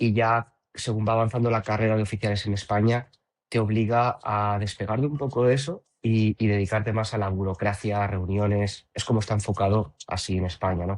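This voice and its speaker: Over a quiet background, a man talks fairly quickly at a fairly low pitch with fairly even intonation. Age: 30s. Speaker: professional natural bodybuilder and coach. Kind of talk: podcast interview. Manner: hesitant, many repetitions.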